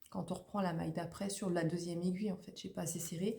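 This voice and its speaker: Ordinary pitch variation in a recording with audible room echo. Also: woman. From Haute-Normandie, France. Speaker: knitting vlogger. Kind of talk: casual vlog monologue. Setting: at home, at a table. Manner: loud; fast.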